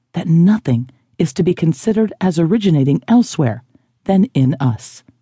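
A woman's somewhat breathy voice, dark and mellow in tone, moves through very wide pitch swings in a dry, close sound with no echo. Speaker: audiobook narrator. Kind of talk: audiobook reading of a spiritual self-help text, scripted and measured. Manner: slow, formal, solemn; even, measured delivery.

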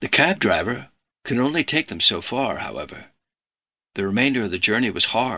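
At a moderate pace, a man with a medium pitch talks in a bright, sharp tone with lively intonation over a quiet background. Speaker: audiobook narrator. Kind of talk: scripted audiobook narration of true crime, dramatic storytelling. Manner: measured, suspenseful, steady pacing; serious, gravely dramatic tone.

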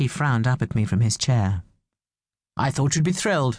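A woman with a very deep, low pitch and a somewhat breathy voice speaks with very wide pitch swings over a quiet background. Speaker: audiobook narrator. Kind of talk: dramatic first-person audiobook narration. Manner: expressive, shifting tone to voice the dialogue, wry and rueful; animated, with self-correcting asides.

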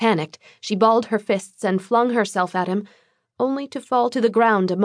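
In plain reading aloud with ordinary pitch variation, the voice comes over a quiet background.

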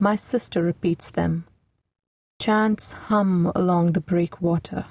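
A woman's dark, mellow, somewhat breathy voice at a very slow pace, with fairly even intonation and a dry, close sound with no echo. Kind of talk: audiobook narration of lyrical literary prose. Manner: measured, slow, hushed and reverent, lyrical.

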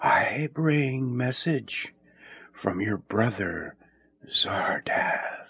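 A man whispers in a put-on character voice, soft-spoken and breathy, at a very slow pace. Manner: whispering.

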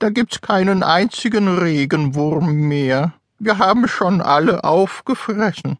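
A put-on character voice from a man, high-pitched and fairly slow. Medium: read story. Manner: suspicious, bossy.

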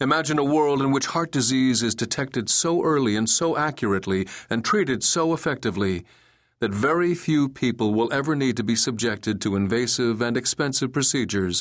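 Against a quiet background, a man with a medium pitch and an ordinary speaking voice talks at a fairly quick pace with lively intonation. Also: very even loudness. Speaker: audiobook narrator. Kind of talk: audiobook reading, scripted narration of a health book. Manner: even, formal, measured.

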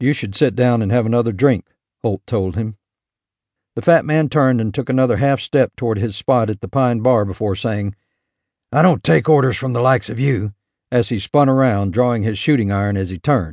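A normal speaking voice moves at a fairly quick pace with ordinary pitch variation, recorded with a dry, close sound and no echo. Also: man, medium pitch for a man. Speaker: audiobook narrator. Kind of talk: dramatic audiobook narration of a western, reading aloud with character voices. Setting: studio recording. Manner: tense, gritty, shifting between narration and gruff cowboy dialogue; measured, building suspense before a quick burst of gunfire action.

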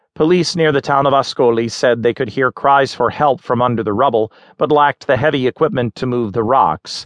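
A man with an unremarkable speaking voice, medium pitch and ordinary pitch variation, fairly quick with hardly any pauses. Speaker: audiobook narrator. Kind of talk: news article read aloud, audiobook narration. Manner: formal, measured; steady, neutral newsreader delivery.

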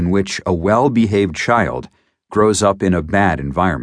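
In a quiet background, a man with a fairly low pitch and vocal fry talks at a moderate pace. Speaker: audiobook narrator. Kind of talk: audiobook reading of nonfiction health text. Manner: steady, even, formal; measured, didactic, explanatory pace.

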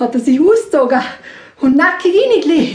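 A woman with a Vorarlberg accent in an animated, playful tone, with noticeable background noise. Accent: Vorarlberg Alemannic-tinged Austrian German. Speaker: storyteller. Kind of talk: live folk-tale storytelling to an audience, ghost story. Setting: stage with live audience. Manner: animated, conversational, playful voices for characters; addresses listeners directly, with asides and laughter.

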